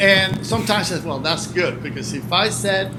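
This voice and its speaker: Through audible room echo and noticeable background noise, a man with a Spanish accent talks with a high pitch. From Cuba. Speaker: retired hurricane forecaster. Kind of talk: interview conversation.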